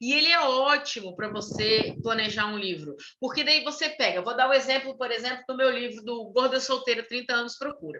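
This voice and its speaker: Over noticeable background noise and audible room echo, the speaker talks with hardly any pauses and ordinary pitch variation. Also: woman, high pitch for a woman. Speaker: writer and writing workshop leader. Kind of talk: online workshop lecture.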